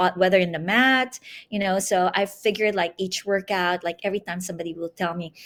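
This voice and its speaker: Here is a woman with a normal speaking voice and a medium pitch. She talks at a fairly quick pace with fairly even intonation. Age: 60s. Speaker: Pilates instructor. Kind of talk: interview.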